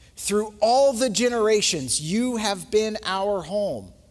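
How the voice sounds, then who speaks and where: There's audible room echo as a man talks very slowly at a high pitch. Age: 30s. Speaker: pastor. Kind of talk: sermon.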